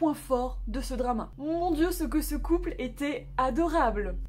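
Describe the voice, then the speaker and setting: A woman with a high pitch speaks at a very slow pace in a room with audible echo. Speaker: YouTuber reviewing Korean dramas. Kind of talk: casual video review. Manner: animated.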